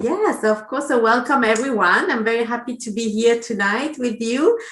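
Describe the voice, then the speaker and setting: Fairly high for a woman, her voice moves at a fairly quick pace with ordinary pitch variation. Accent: French. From France. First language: French. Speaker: language testing coordinator. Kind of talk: webinar presentation. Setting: online video session.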